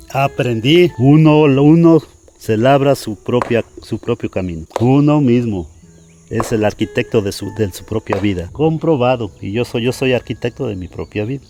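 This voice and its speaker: A man speaks with a Mexican accent at a fairly slow pace. His intonation is lively. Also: medium pitch for a man. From Mexico. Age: 60s. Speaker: bricklayer. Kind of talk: interview. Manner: halting, repeats words.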